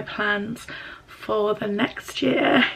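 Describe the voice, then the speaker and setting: A woman speaks quietly with an English accent. Background noise is noticeable. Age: 20s. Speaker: YouTuber, university student. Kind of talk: casual vlog. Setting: at home. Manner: hesitant.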